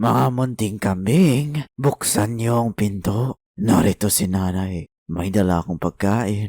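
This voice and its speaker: A man puts on a gravelly character voice, fairly low in pitch, and delivers it at a very slow pace. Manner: deceptive, feigning a mother's voice.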